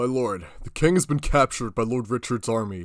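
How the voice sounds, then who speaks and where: A man puts on a character voice, pitched in the medium range. He talks at a fairly quick pace with lively intonation. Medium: audio drama. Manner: blunt, forceful.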